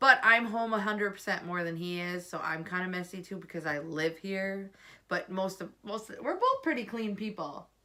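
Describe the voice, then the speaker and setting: A woman speaks at a moderate pace and medium pitch with ordinary pitch variation. Her loudness swings a lot over noticeable background noise. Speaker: vlogger. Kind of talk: casual chat. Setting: at home.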